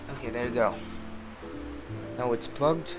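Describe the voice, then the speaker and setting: A man's medium-pitched voice with a non-native accent, music playing in the background. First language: not English. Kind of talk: casual screen-recording tech tutorial.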